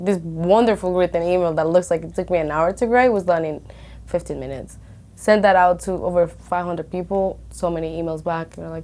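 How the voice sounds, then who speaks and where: A woman talks at a fairly quick pace in a fairly low voice with a dark, mellow tone. Her intonation stays fairly even while her loudness swings widely. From Colombia. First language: Spanish. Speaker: real estate broker. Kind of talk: podcast interview.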